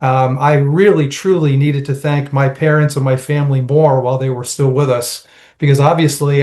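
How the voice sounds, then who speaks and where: A man with an American accent talks at a moderate pace, his voice somewhat breathy. His pitch is fairly high and his intonation monotone and flat. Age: 60s. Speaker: nonprofit and public policy professional. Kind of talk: panel discussion. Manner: halting.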